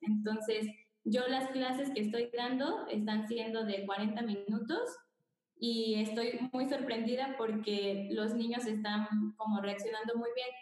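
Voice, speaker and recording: Fairly high-pitched, a woman talks at a fairly slow pace with fairly even intonation. Room echo is audible. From Mexico, Querétaro. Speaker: preschool music teacher. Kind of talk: video call discussion. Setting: video call.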